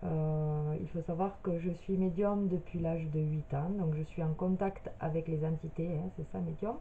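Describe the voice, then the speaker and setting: A woman talks at a fairly slow pace with hardly any pauses, her pitch fairly low. Her intonation stays fairly even over noticeable background noise. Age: 30s. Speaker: medium. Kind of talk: personal video introduction. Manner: hesitant, many filler sounds.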